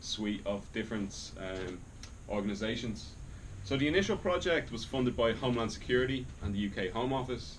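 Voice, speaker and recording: With an Irish accent, a man speaks at a moderate pace and medium pitch, his pitch varying in an ordinary way. Audible room echo surrounds his voice. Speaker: academic researcher, lecturer. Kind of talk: lecture.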